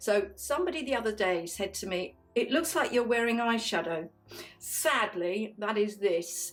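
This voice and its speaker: Music plays in the background while a woman speaks with lively intonation. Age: 60s. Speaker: beauty vlogger. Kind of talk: makeup tutorial. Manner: chatty, warm.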